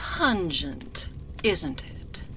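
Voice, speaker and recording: Over clear background noise, a woman performs in a put-on character voice. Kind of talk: seductive ASMR roleplay. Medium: solo performance. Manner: languid, purring, condescending.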